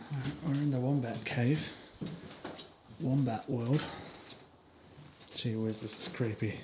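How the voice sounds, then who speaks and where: Speaking with an Australian accent, a man at a medium pitch moves at a fairly slow pace with ordinary pitch variation and long, frequent pauses, amid audible room echo. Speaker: YouTuber exploring abandoned places. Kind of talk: casual vlog walkthrough. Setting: outdoors, abandoned wildlife park.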